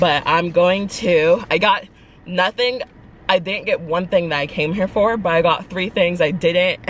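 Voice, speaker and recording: A woman's plain, everyday voice, fairly low in pitch, with fairly even intonation and a moderate pace, dry sound with no echo and light background noise. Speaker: vlogger. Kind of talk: casual vlog chat. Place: car. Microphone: phone near.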